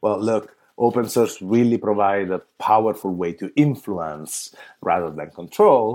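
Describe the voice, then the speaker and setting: Speaking fairly slowly with an Italian accent, a man uses a fairly low pitch and ordinary pitch variation in a very clean recording with a silent background. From Italy. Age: 30s. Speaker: open source foundation leader. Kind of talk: interview conversation.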